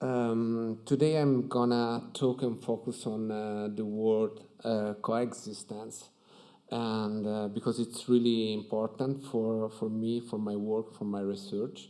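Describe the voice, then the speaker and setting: With an Italian accent, a man speaks at a very slow pace in a dark, mellow tone at a medium pitch, with monotone, flat intonation and a quiet background. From Italy. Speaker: architect. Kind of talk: conference talk. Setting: stage with audience at museum. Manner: hesitant, many fillers. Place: hall. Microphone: podium.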